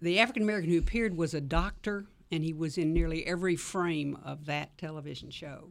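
Talking at a very fast pace, a woman with a Southern US accent uses a fairly low pitch, ordinary pitch variation and big swings in loudness. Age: old. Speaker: civil rights activist. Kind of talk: radio panel discussion.

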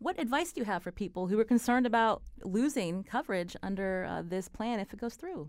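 With hardly any pauses, a woman talks at a fairly quick pace in an unremarkable speaking voice with lively intonation. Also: fairly high pitch for a woman. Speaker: radio host. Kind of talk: radio interview. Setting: studio.

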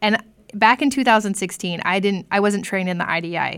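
A woman speaks in a normal speaking voice with an American accent. Her pitch is medium, with ordinary pitch variation. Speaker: professor and cultural competency trainer. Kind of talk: podcast interview.

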